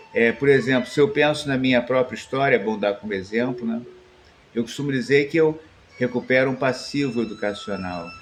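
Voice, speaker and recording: A man talks at a fairly quick pace with a medium pitch. Noticeable background noise can be heard. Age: 60s. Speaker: spiritual teacher and musician. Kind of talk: improvised reflective monologue. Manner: hesitant, frequent fillers.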